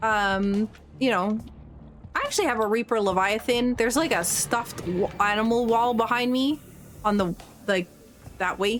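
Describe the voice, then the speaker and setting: Music behind a woman's fairly high voice with ordinary pitch variation. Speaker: video game streamer. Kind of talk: casual gameplay commentary.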